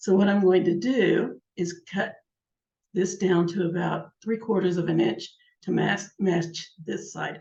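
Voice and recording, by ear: Using a put-on character voice, a woman speaks at a fairly slow pace in a raspy, hoarse voice of medium pitch with ordinary pitch variation.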